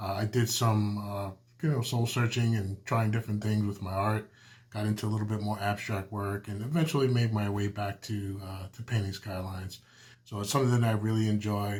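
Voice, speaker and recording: A man with a Brooklyn accent speaks at a fairly quick pace in a relaxed, somewhat breathy tone, his pitch fairly low. The intonation is fairly even, and the recording is very clean with a silent background. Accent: New York (Brooklyn). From Brooklyn, New York. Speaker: artist, painter. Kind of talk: casual vlog talk to camera. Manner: relaxed, with many fillers and restarts.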